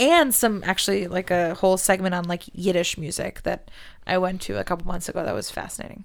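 A woman with an American accent and vocal fry races at a very fast pace, medium in pitch with ordinary pitch variation, in a very clean recording with a silent background. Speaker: writer, arts fellow. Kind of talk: casual interview.

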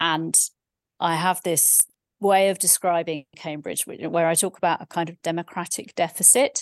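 Over a quiet background with a dry, close sound and no echo, a woman with a fairly low pitch speaks at a moderate pace with fairly even intonation in an unremarkable speaking voice.

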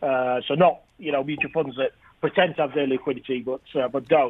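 This man speaks with a northern English accent. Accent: northern English, noticeable. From northern England. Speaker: ETF industry founder. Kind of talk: interview. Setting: phone call from London.

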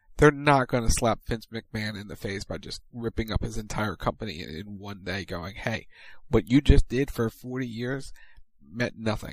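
Delivered in an ordinary speaking voice, the speech keeps a moderate pace and ordinary pitch variation. Its loudness swings widely. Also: man, medium pitch for a man, very clean recording, silent background. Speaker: radio co-host and producer. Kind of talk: radio DJ patter, promo reads and banter.

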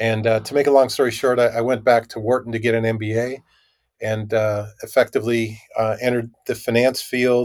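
Monotone, flat delivery from a man with an American accent, at a fairly quick pace. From US Midwest, Minnesota. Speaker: tech company CEO. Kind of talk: interview.

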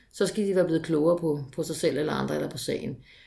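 A woman's very fast speech with vocal fry and ordinary pitch variation. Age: 40s. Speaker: municipal sports consultant. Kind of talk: interview. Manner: hesitant with fillers.

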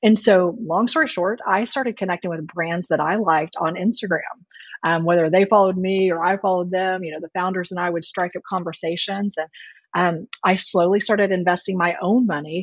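A woman speaks in a plain, everyday voice at a fairly quick pace, with an American accent. Her pitch sits in the medium range and her intonation stays fairly even. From Texas Panhandle. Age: 40s. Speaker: venture capital investor. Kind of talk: interview.

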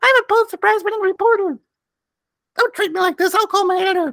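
An extremely high, squeaky put-on character voice rattles along at a very fast pace. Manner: whiny, indignant.

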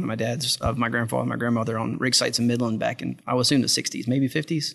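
A man with medium pitch and vocal fry talks at a very fast pace with fairly even intonation against a quiet background. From South Louisiana. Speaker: oil company operations manager. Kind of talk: interview conversation. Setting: restaurant dining room.

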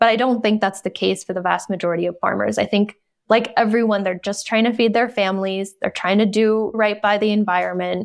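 Against a quiet background, a woman with an American accent and a medium pitch talks at a fairly quick pace in a monotone, flat intonation with hardly any pauses. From North Carolina, US South. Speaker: documentary filmmaker and writer. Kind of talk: interview.

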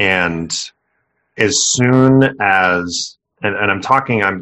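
A man with an ordinary speaking voice, fairly low pitch, and ordinary pitch variation. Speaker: podcast host. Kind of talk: casual interview.

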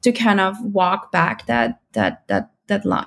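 With a German accent, a woman talks at a very slow pace. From Austria (Vienna). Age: 30s. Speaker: parent of bilingual child. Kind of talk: interview.

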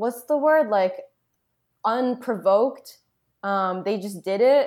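A woman's normal speaking voice, fairly high in pitch, with an American accent, lively intonation and a fairly slow pace. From Boston. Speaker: writer and activist. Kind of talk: casual chat. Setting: remote call.

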